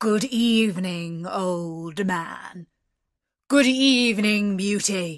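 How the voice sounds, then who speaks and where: Using a put-on character voice at medium pitch, a woman speaks at a very slow pace. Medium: read story. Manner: stern, formal.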